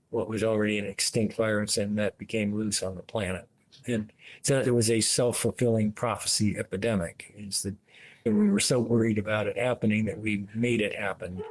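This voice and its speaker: This man's voice sits fairly low and stays flat and monotone. The recording is very clean with a silent background. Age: 70s. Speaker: retired epidemiologist. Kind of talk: interview. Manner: halting, many fillers.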